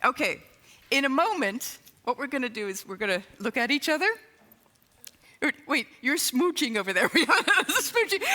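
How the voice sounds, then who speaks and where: A woman's raised, projected voice, high in pitch with an upbeat tone at a moderate pace, over noticeable background noise. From England. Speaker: improv consultant and comedy teacher. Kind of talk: keynote talk on stage. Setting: stage with PA system. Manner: upbeat, humorous.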